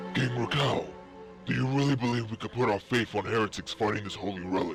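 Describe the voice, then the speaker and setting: Over clear background music, a man performs a put-on character voice at a medium pitch and a very fast pace. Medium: machinima. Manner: formal, proud.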